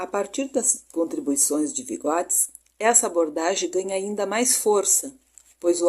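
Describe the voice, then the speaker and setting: Lively in intonation, a woman with a medium pitch speaks at a fairly slow pace. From southern Brazil, Rio Grande do Sul. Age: 60s. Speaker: pedagogy student. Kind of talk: recorded class presentation. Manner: hesitant, with fillers like né.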